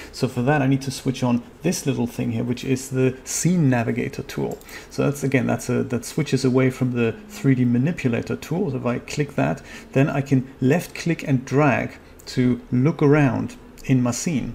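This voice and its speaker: Speaking at a moderate pace with a German accent, a man uses a medium pitch and ordinary pitch variation over noticeable background noise. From Germany. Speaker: 3D software tutorial youtuber. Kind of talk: live-streamed tutorial. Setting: home studio live stream. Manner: casual, with fillers.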